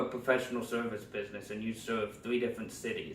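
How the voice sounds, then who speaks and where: Noticeable background noise sits behind a man's voice. He talks at a fairly quick pace with a medium pitch. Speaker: digital marketing trainer. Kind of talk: tutorial. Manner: fast.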